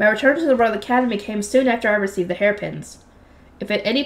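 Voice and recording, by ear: The words are read aloud in a natural voice.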